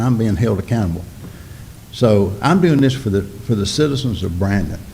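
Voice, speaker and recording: Lively intonation and a Mississippi accent come at a moderate pace, with audible room echo. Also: man. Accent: Southern US (Mississippi). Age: 60s. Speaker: local business owner addressing city board. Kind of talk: public comment at city board meeting. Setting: city board meeting. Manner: impassioned.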